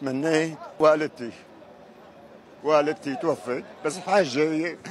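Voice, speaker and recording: A man with a Syrian accent, very slow pace and ordinary pitch variation, amid noticeable background noise. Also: fairly high pitch for a man. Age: 70s. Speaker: pilgrim. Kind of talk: street interview. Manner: emotional.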